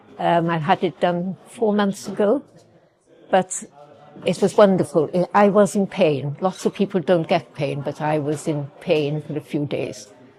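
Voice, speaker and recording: Over noticeable background noise, a woman talks at a fairly low pitch and a fairly slow pace with ordinary pitch variation. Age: 80s+. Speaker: patient. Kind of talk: testimony.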